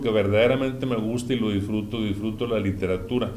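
In audible room echo, the speech runs at a fairly quick pace with ordinary pitch variation. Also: man. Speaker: podcast guest. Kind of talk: casual chat.

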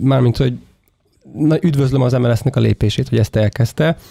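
With a dark, mellow tone and medium pitch, a man speaks with ordinary pitch variation in a dry, close sound with no echo.

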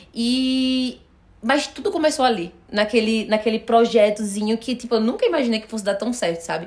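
With an animated tone, a woman speaks at a moderate pace and a fairly high pitch, her pitch varying in an ordinary way. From Brazil, Recife (Pernambuco). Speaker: influencer talent manager, agency owner. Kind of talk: casual chat.

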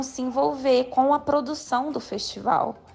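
Background music behind a woman speaking fairly slowly. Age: 30s. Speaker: physical education teacher. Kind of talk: interview.

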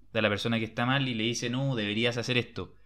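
At a very fast pace, a man speaks at medium pitch. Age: 20s. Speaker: podcast host. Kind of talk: book discussion chat.

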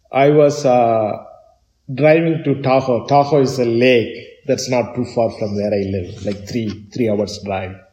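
A man speaks at a fairly slow pace in a dark, mellow tone that is somewhat breathy. His pitch is medium with ordinary pitch variation. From southern India, Chennai. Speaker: tech entrepreneur. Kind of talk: interview. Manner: halting.

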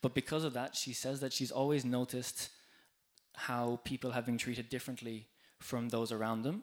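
In an Irish accent, a man with a medium pitch speaks at a fairly quick pace. His intonation is flat and monotone, and the recording is very clean with a silent background. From Ireland. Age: 20s. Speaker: EU worker and volunteer speaker. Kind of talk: live talk to bar audience. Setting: stage in a bar with audience.

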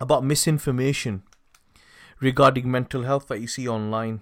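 A man talks fairly quickly at a fairly high pitch in a Mancunian accent. The recording is very clean, with a silent background. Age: 30s. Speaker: podcast host. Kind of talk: interview.

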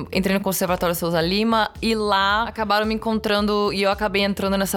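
A woman speaks at a fairly quick pace in a medium pitch with flat, monotone intonation. Music plays in the background. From Brazil, São Paulo city. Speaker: bassist, singer and songwriter. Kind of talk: casual chat.

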